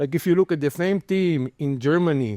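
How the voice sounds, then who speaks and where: With an Israeli accent, a man speaks in a dark, mellow tone with ordinary pitch variation. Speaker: venture capitalist, panelist. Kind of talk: panel discussion.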